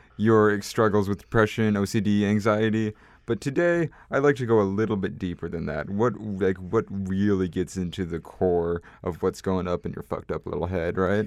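Over a quiet background, a man talks at a moderate pace with a fairly low pitch. His is a plain, everyday voice. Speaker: podcast host. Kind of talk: casual interview chat, comedic intro.

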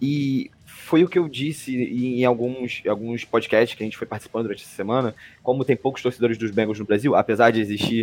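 Music plays in the background as a man speaks at a moderate pace. His voice is medium in pitch, with ordinary pitch variation. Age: 20s. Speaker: NFL podcast panelist, Bengals fan. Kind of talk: sports analysis chat.

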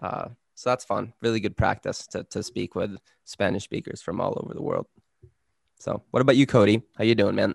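Someone talks with a Swedish accent at a fairly quick pace, in a dry, close sound with no echo. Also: man. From Sweden. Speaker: podcast co-host. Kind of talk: casual chat.

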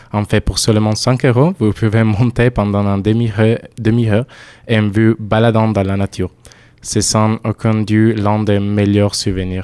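A man with an Italian accent speaks in a dark, mellow tone at a fairly low pitch, slowly and in a flat monotone. The sound is dry and close with no echo, and his loudness stays very even. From southern Italy. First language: Italian (speaking French). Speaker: European volunteer. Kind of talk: casual radio chat.

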